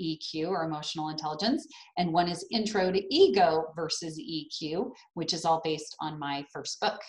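A woman with ordinary pitch variation, audible room echo and a quiet background. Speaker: trainer, webinar host. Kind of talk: promotional walkthrough chat. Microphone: video call.

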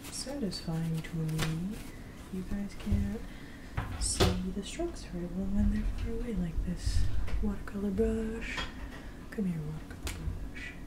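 Someone speaks at a fairly slow pace over noticeable background noise. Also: woman. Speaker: ASMR artist. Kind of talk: ASMR soft-spoken talk to camera while drawing.

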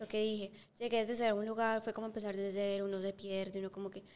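This woman has a fairly high-pitched voice. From Colombia, Bogotá. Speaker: singer; guest. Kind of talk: interview. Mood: warm, cheerful. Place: studio. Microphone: studio mic.

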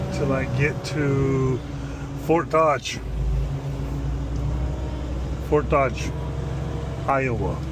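A man speaking with long, frequent pauses over noticeable background noise. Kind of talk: casual vlog chat. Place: car. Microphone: phone near.

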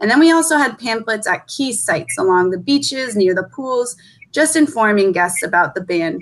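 A woman speaks at a moderate pace with lively intonation. Her pitch sits in the medium range.

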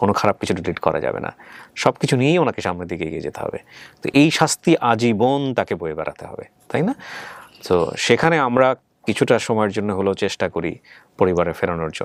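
Dry and close with no echo, this man has a plain, everyday voice at fairly low pitch. His intonation is lively. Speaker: radio-style host of a family reunion show. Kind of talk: interview and moral commentary.

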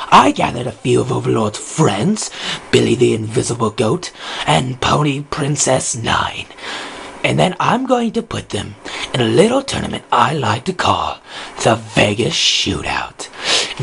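A man speaks at a medium pitch and a moderate pace over clear background noise. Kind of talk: game show host commentary. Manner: playful, vain, excitable.

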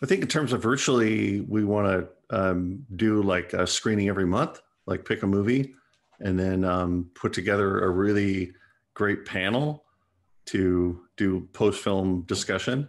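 A man with a normal speaking voice talks at a fairly slow pace and fairly low pitch, with ordinary pitch variation. His loudness stays very even against a quiet background. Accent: American. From US Pacific Northwest (Washington state). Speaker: film festival organizer. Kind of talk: casual interview.

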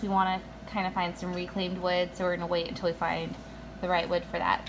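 A woman speaks at a fairly quick pace with noticeable background noise behind her. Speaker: home renovator vlogger. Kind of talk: casual vlog chat. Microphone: phone near.

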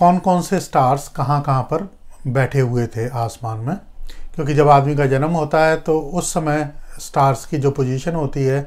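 With an ordinary speaking voice, a man talks at a fairly slow pace in a fairly high pitch, his intonation fairly even. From India. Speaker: astrologer and healer; astrology vlogger. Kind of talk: personal storytelling vlog. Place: home room. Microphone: lapel.

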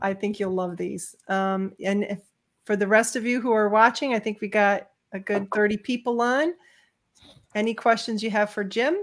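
The background is quiet as a woman speaks at a moderate pace. Her pitch is fairly high and her intonation fairly even. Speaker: YouTube channel host. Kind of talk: live stream interview. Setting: video call. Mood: warm, friendly. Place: home room. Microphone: webcam.

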